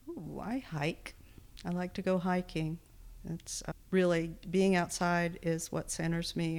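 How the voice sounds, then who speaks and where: A woman with a fairly low pitch, in a very clean recording with a silent background. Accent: Texan. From Texas. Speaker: podcast editor in recovery. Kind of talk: interview.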